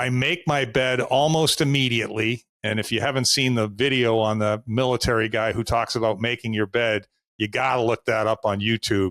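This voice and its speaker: At a moderate pace and a medium pitch, a man speaks with hardly any pauses, very even loudness and fairly even intonation, the sound dry and close with no echo. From US Northeast, Boston. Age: 60s. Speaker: sales coach. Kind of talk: podcast interview.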